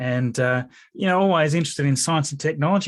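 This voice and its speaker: The background stays quiet. A man talks in an Australian accent. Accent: Australian, noticeable to many. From Tasmania, Australia. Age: 40s. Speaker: YouTuber and computer programmer. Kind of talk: interview. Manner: hesitant, many fillers.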